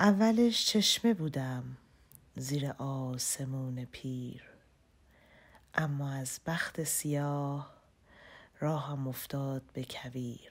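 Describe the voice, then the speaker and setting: The speech comes at a very slow pace with long, frequent pauses and ordinary pitch variation. The recording is very clean, with a silent background. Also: woman, very deep, low pitch for a woman. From Iran. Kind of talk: poetry reading. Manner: whispered.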